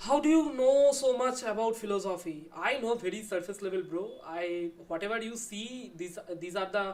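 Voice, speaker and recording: A woman at medium pitch with lively intonation. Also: moderate pace. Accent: Bengali. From India, Bengal. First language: Bengali. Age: 20s. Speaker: YouTuber discussing philosophy. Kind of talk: live stream Q&A with chat. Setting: live stream at home. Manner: casual, relaxed.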